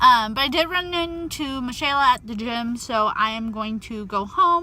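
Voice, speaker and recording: Noticeable background noise sits behind a woman whose high-pitched voice has lively intonation. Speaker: fitness vlogger and personal trainer. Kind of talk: casual vlog. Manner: chatty, filler-heavy.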